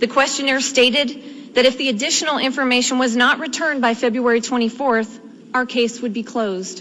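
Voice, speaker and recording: A woman speaks at a fairly quick pace with an American accent, her pitch high. Noticeable background noise runs underneath. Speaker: tea party activist. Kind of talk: congressional testimony. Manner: calm, matter-of-fact.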